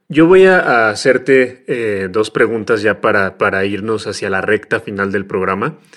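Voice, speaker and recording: A man talks at a fairly slow pace in an unremarkable speaking voice. His pitch is fairly low, with ordinary variation. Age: 30s. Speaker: podcast co-host. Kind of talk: casual chat.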